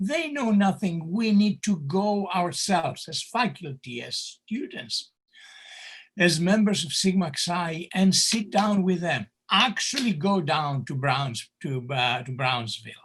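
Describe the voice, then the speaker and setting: A man's high voice in a Greek accent, full of very wide pitch swings. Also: fairly slow pace. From Greece. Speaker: candidate for society president, professor. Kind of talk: town hall Q&A answer. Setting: video call. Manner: animated.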